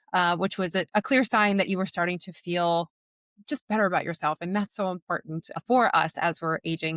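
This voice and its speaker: The speaker sounds enthusiastic, talking at a fairly quick pace with ordinary pitch variation. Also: woman, dry, close sound with no echo. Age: 40s. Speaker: fitness and nutrition coach, podcast host. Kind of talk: interview podcast.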